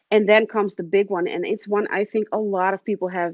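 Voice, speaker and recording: In a slight Dutch accent, the speaker talks at a fairly quick pace with monotone, flat intonation. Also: woman. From Netherlands. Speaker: romance author. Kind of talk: casual interview chat.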